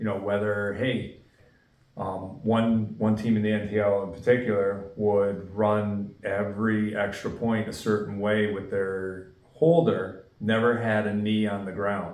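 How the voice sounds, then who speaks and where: With a northeastern Pennsylvania accent, a man speaks at a fairly slow pace in a fairly low pitch and fairly even intonation, with audible room echo. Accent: Scranton. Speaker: football referee. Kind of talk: interview.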